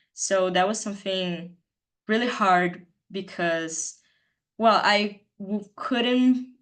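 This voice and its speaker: Someone speaks very slowly in a Brazilian Portuguese accent. The background is quiet. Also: woman. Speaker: student presenter. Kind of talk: presentation.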